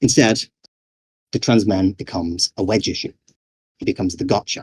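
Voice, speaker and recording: Somewhat breathy speech with a British accent runs at a fairly quick pace with ordinary pitch variation, in a dry, close sound with no echo. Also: man, fairly low pitch for a man. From Britain. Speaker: game developer and conference speaker. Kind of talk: conference talk.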